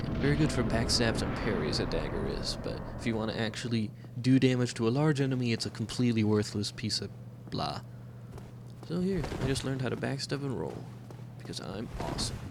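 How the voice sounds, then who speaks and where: Amid noticeable background noise and audible room echo, a man talks at a fairly quick pace and medium pitch with lively intonation. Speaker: video game let's player. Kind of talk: gameplay commentary. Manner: casual, conversational.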